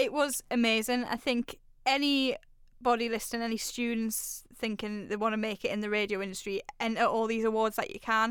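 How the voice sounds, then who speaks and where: In a northeast English accent, a woman speaks fairly quickly at a fairly high pitch, on a very clean recording with a silent background. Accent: northeast English (Geordie-area), noticeable. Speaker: radio presenter. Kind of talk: casual interview. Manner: erratic, loud, animated.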